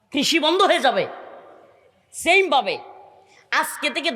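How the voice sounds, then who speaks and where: This is a man's voice. He speaks in a raised, projected way. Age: 30s. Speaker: Islamic preacher. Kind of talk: sermon.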